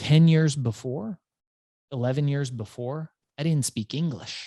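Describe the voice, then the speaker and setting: Speaking at a fairly slow pace, a man with a fairly high pitch and a dark, mellow tone uses ordinary pitch variation, heard in a dry, close sound with no echo. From Iran, raised in US from childhood. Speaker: entrepreneur and author. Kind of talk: interview storytelling. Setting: podcast.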